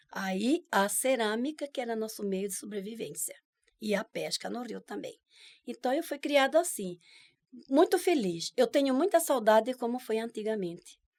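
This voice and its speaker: Her voice is fairly high, and her pitch swings very widely. The woman's loudness also shifts greatly, on a very clean recording with a silent background. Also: moderate pace. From Brazil, Cuiabá (Mato Grosso). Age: 70s. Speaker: traditional dance leader and folk healer. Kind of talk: interview.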